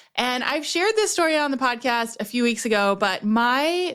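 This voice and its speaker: The recording is very clean, with a silent background. A woman speaks at a fairly high pitch with ordinary pitch variation. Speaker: business strategist and podcast host. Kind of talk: casual podcast monologue. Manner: fast when excited.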